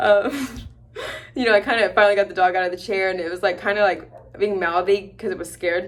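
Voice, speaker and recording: A woman mumbling. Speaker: new veterinarian vlogger. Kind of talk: casual vlog. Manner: mumbling, slurred words; fast, filler-heavy.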